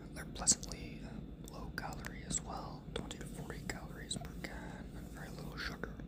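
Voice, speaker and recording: A man whispers at a fairly quick pace against noticeable background noise. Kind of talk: ASMR whisper ramble, casual talk to camera. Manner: whispered, lo-fi.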